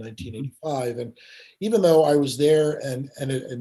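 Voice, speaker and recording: Somewhat breathy, a man speaks quickly enough to be fairly quick, at a medium pitch with a dark, mellow tone and ordinary pitch variation. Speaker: podcast host; author. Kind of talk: podcast interview conversation.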